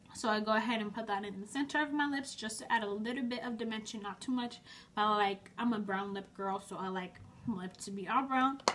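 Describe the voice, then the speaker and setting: With noticeable background noise behind her, a woman talks at a fairly quick pace in a fairly high voice with ordinary pitch variation. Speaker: beauty vlogger. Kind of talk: tutorial. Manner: fast; casual, chatty.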